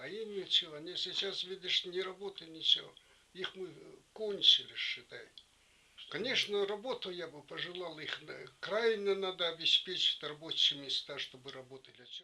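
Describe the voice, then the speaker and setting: The speech is broken by long, frequent pauses, and the loudness swings widely. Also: man, high pitch for a man, ordinary pitch variation, moderate pace. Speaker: wartime home-front witness. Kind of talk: interview answer.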